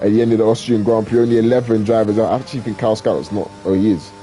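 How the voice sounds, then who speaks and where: A man speaks at a very fast pace with noticeable noise in the background. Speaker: sim racing league commentator. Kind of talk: live commentary. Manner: animated.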